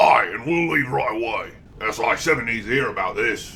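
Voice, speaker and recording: A man's put-on character voice, raspy at medium pitch, moderate pace, clear background noise. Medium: machinima. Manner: blunt, gruff.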